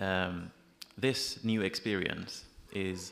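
Light background noise behind a man speaking. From Iran. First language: Persian. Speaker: freelance journalist. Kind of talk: panel discussion. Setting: stage with audience. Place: hall. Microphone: podium.

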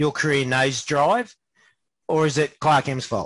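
A man's somewhat breathy, fairly high voice in an Australian accent, at a fairly slow pace. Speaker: interview host. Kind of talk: casual interview, joking.

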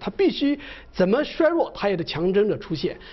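Very wide pitch swings from a man talking fairly quickly. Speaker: professor. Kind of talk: live TV panel discussion. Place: studio. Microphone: lapel.

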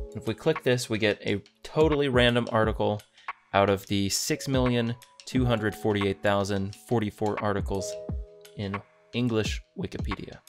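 Clear music plays in the background as a man talks at a fairly low pitch. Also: lively intonation, moderate pace. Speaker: Minecraft content creator. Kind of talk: casual talk to camera. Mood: calm, relaxing.

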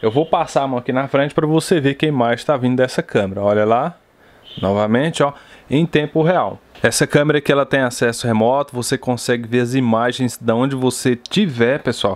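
A man talks at a fairly quick pace in a normal speaking voice, with medium pitch. His loudness is very even, and his pitch varies ordinarily. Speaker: tech YouTuber. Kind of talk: product review tutorial.

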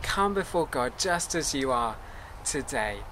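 A man talks very slowly while light noise sits in the background. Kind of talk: service welcome address. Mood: warm, calm, earnest. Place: garden.

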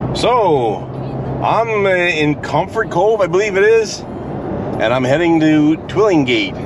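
A man speaks at a very slow pace with lively intonation, the sound dry with no echo despite noticeable background noise. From Newfoundland. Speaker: military veteran. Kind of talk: vlog talk to camera while driving. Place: car. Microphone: phone near.

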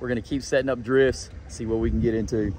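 Dry sound with no echo, plus light background noise. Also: man. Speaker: fishing guide or angler. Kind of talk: casual vlog chat and tutorial. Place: boat. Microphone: phone near.

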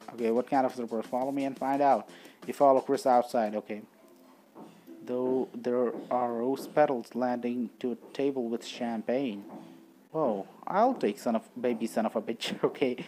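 Speaking with a non-native accent, a man uses a dark, mellow tone at a medium pitch, with fairly even intonation and a moderate pace. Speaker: gaming commentator. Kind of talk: casual gameplay commentary, reading game text aloud.

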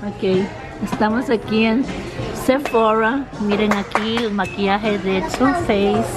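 Over clear music in the background, a woman speaks at a very slow pace. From Ecuador. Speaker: vlogger. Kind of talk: casual talk to camera. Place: shop. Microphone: phone near.

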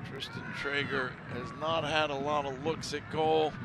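Against noticeable background noise, a man speaks at a fairly slow pace in a fairly high pitch with monotone, flat intonation. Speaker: soccer color commentator. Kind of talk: live sports commentary (color analysis). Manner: calm, explanatory, conversational analysis.

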